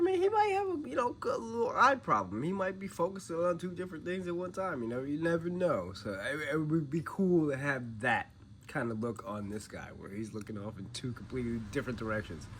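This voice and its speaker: A man speaks at a fairly quick pace with hardly any pauses, his pitch fairly high. His tone is animated, with very wide pitch swings. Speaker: toy reviewer. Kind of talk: casual product review. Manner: casual, animated.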